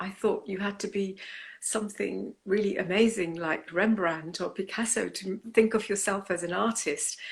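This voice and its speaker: Ordinary pitch variation from a woman with a British accent. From England, came from Punjab, India at nine. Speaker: artist. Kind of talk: interview.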